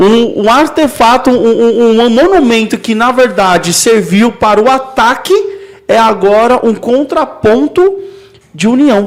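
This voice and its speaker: A man with an extremely high pitch speaks at a fairly slow pace with lively intonation and very even loudness over noticeable background noise. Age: 30s. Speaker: podcast host. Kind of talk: casual chat.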